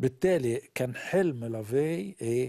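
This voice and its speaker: In a dark, mellow tone, a man speaks at a very slow pace with ordinary pitch variation. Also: quiet background. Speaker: pastor; guest pastor. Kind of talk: religious teaching in a live interview. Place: studio. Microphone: lapel.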